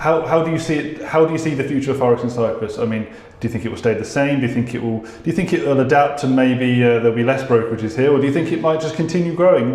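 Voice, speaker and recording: With a British accent and a fairly high pitch, a man talks very fast with hardly any pauses and ordinary pitch variation, over noticeable background noise and audible room echo. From UK. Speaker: podcast interviewer. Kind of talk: interview. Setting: office.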